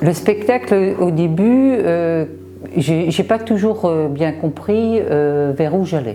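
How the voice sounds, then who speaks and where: Music plays in the background as a woman speaks at a very slow pace. Her voice is fairly low in pitch, with lively intonation. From Brittany, France. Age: 60s. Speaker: amateur theatre participant. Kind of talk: interview testimony. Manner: hesitant, many fillers.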